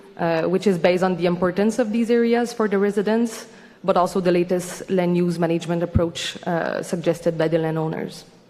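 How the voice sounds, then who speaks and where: Noticeable background noise sits under the speech. The delivery moves at a fairly quick pace with fairly even intonation. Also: woman, fairly low pitch for a woman. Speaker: organization representative at public hearing. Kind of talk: formal presentation. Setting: public hearing. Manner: fast.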